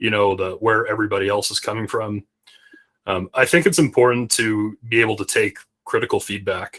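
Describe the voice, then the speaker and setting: A man's speech moves fairly quickly. The recording is close and dry, without any echo. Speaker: space company CEO. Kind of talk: interview. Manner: authoritative; halting, many restarts.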